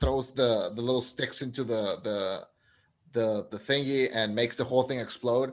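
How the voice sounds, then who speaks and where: Here a man of medium pitch speaks at a moderate pace with fairly even intonation. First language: not English. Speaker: film podcast co-host. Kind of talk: casual chat.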